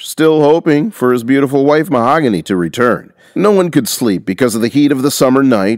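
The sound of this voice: An unforced reading voice, pitch rising and falling by usual amounts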